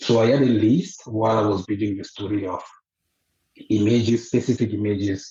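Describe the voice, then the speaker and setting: A man with a fairly low pitch sounds somewhat breathy as he speaks at a fairly slow pace. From Côte d'Ivoire. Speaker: author. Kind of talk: interview. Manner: halting.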